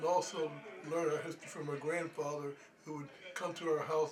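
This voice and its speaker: Very fast, monotone, flat delivery from a man with a fairly high pitch and an American accent, amid noticeable background noise. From US Northeast, Pennsylvania (Norristown). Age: 80s+. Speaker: historian. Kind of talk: interview. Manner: halting.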